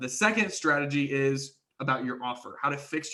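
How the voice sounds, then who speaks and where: The man's tone is bright and sharp, and his intonation stays fairly even. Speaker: marketing agency trainer. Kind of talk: webinar presentation. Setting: live online webinar. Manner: fast.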